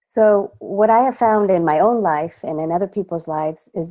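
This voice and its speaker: In an American accent, a woman speaks at medium pitch in a normal speaking voice, with ordinary pitch variation at a moderate pace. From California, Mexican parents. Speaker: voice and presence coach. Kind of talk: interview answers with interpretation. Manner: speaks in short phrases pausing for translation.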